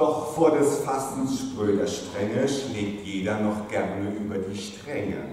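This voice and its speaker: A man speaks at a very slow pace in a fairly low pitch with ordinary pitch variation and hardly any pauses. Strong room echo and light background noise surround his voice. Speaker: pastor. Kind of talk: carnival sermon in rhymed couplets (Büttenrede style). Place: church.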